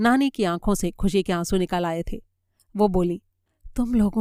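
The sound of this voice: An unforced reading voice with ordinary pitch variation against a quiet background.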